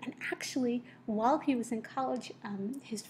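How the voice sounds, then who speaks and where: Her voice has a dark, mellow tone and a fairly high pitch. The woman sounds somewhat breathy, with ordinary pitch variation. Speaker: teacher. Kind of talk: lecture. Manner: careful articulation; hesitant, many fillers.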